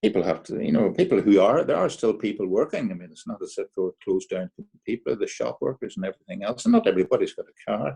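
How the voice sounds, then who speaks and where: Speaking very fast with hardly any pauses, a man in a Derry accent shows big swings in loudness, recorded dry and close with no echo. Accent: Northern Irish (Derry). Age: 80s+. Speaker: amateur musical society president. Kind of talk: casual chat. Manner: halting.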